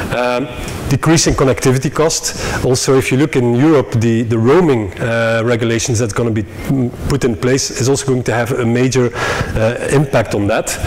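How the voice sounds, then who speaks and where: Noticeable background noise runs under a man speaking at medium pitch and a moderate pace. He keeps his intonation fairly even and hardly pauses. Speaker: conference speaker, telecom industry executive. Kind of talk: conference presentation. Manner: hesitant, many fillers.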